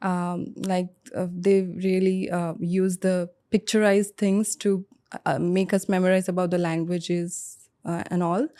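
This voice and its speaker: Speaking very slowly, no, fairly slowly in a flat monotone, a woman with an Indian accent has a dark, mellow tone on a very clean recording with a silent background. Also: medium pitch for a woman. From India, Mumbai. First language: Bengali. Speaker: IELTS test candidate, cabin crew. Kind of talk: mock speaking exam interview. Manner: hesitant, many fillers.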